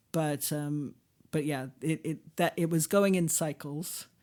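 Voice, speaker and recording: Very deep and low, a woman's dark, mellow voice comes in an American accent with monotone, flat intonation at a moderate pace, on a very clean recording with a silent background. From USA. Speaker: linguist and author. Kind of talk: interview. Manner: hesitant with fillers and restarts.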